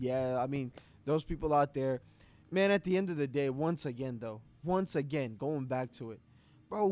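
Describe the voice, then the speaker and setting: With a New York accent, a man talks at a moderate pace. His pitch swings very widely. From New York City, Queens. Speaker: podcast co-host. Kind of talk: casual chat.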